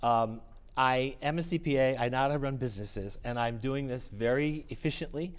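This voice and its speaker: Audible room echo surrounds a man who talks at a fairly quick pace and medium pitch with ordinary pitch variation. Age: 60s. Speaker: music network organizer and piano technician. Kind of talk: interview.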